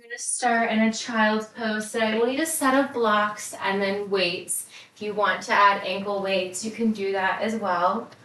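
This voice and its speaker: A woman's pitch varies in an ordinary way while noticeable noise runs in the background. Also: moderate pace, big swings in loudness. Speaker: yoga instructor. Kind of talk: guided workout instruction.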